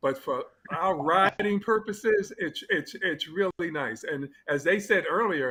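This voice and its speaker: Raising and projecting his high-pitched voice, a man speaks at a fairly slow pace with lively intonation. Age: 70s. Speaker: cyclist. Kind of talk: casual interview chat.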